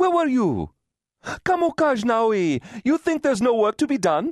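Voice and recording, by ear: Putting on a character voice, a man speaks fairly slowly at an extremely high pitch with big pitch swings and a slightly mellow tone, the very clean recording dry and close with no echo and a silent background.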